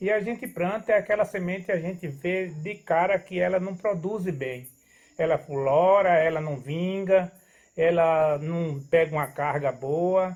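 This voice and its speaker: Against a quiet background, a man with a high pitch speaks at a fairly slow pace, his pitch varying in an ordinary way. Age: 70s. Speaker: farmer. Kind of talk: casual interview chat. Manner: halting.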